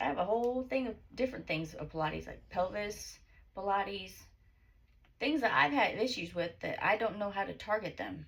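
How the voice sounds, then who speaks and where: Here is a woman with a medium pitch and vocal fry. Her intonation is lively and her pace moderate. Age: 30s. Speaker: author and self-help vlogger. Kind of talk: casual vlog, reading own book with asides. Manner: rambling, halting.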